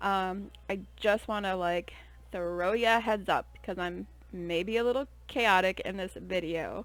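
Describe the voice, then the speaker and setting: With a normal speaking voice and fairly even intonation, a woman at a medium pitch speaks at a fairly slow pace in a very clean recording with a silent background. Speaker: YouTuber. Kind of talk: casual chat.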